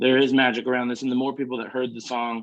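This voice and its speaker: A man with a Southern US accent, medium pitch, at a very fast pace. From small-town Arkansas. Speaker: country singer. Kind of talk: casual interview chat.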